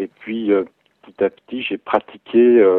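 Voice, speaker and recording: His intonation is fairly even. The man's pitch sits fairly low. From Burgundy, Bresse area, France. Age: 30s. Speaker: amateur wildlife photographer. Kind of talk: interview. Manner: hesitant, repeats words.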